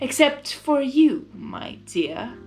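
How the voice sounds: In a put-on character voice, a woman talks slowly at a high pitch with big pitch swings.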